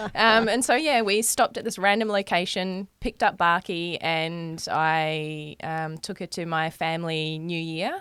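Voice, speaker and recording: A woman with a New Zealand accent talks at a fairly slow pace in a fairly low voice. Her pitch varies in an ordinary way, and the recording is very clean with a silent background. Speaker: amateur baseball player. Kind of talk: casual chat.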